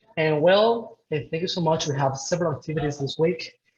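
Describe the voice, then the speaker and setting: The speaker is a man with a fairly high pitch. He talks in a Spanish accent. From Venezuela, Puerto Ordaz. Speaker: event host. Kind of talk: webinar introduction.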